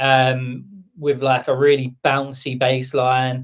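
A man with a southern English accent, at a very slow pace. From southern England. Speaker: music producer and label boss. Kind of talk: casual chat. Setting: live stream.

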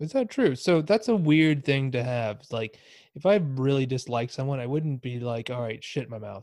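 Lively intonation marks this man's Texan accent as he talks at a moderate pace. The recording is very clean, with a silent background. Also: medium pitch for a man. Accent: Texan American English. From Texas, US. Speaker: improv comedian and podcaster. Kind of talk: casual chat.

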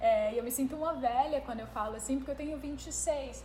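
A high-pitched woman with fairly even intonation, amid noticeable background noise and audible room echo. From Ceará, Brazil. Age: 20s. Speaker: leadership speaker. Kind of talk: podcast interview.

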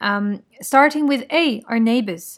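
Speaking very slowly, a woman keeps ordinary pitch variation. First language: French. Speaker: podcast host. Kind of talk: solo podcast monologue.

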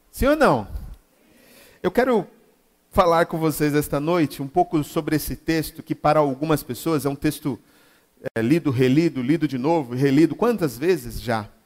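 This man's voice sits fairly high, with ordinary pitch variation. He keeps a moderate pace but takes long, frequent pauses. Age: 40s. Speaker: pastor. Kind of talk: sermon. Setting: church.

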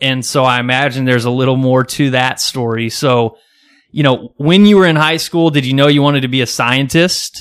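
An unremarkable speaking voice with an American accent goes along fairly quickly, its pitch varying in an ordinary way. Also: man, medium pitch for a man. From Kansas. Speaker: podcast host. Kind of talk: casual interview. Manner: casual, chatty.

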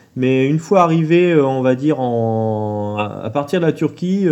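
Ordinary pitch variation in a dark, mellow tone, delivered at a very slow pace. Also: man. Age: 40s. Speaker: long-distance cyclist. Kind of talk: interview. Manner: halting.

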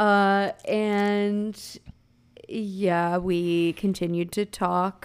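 The very clean recording has a silent background. A woman with a medium pitch speaks at a very slow pace with monotone, flat intonation. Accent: American. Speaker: podcast co-host. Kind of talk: casual chat.

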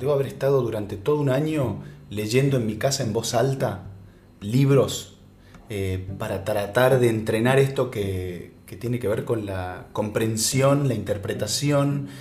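Audible room echo surrounds a man speaking at a medium pitch, somewhat breathy, with ordinary pitch variation. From Argentina, Salta. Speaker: actor and voice actor. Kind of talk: casual interview chat.

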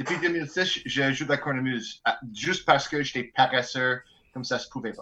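At a fairly high pitch and moderate pace, a man with an Albertan accent speaks in a bright, sharp tone with ordinary pitch variation and big swings in loudness. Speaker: bagpiper in a band. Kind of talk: casual chat.

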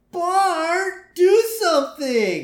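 A put-on character voice whines at an extremely high pitch, its tone whiny throughout. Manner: whiny, pleading.

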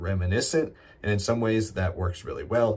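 A man with a fairly low, somewhat breathy voice speaks with fairly even intonation. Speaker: co-host reviewer. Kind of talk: review podcast, conversational.

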